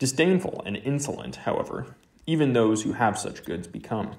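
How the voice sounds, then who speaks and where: A man with a medium pitch talks at a moderate pace. His intonation is lively, with vocal fry. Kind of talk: literary audiobook reading of a philosophical text. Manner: measured, even-paced, formal.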